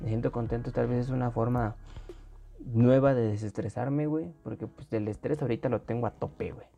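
A man speaks at medium pitch and a moderate pace with ordinary pitch variation. Music plays in the background. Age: 20s. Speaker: podcast co-host, university student. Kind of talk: casual chat.

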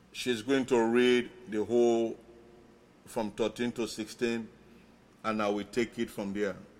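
A man at medium pitch, very slow and monotone, with flat intonation and long, frequent pauses. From Sierra Leone. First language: Mende and Krio. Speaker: pastor. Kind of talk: sermon.

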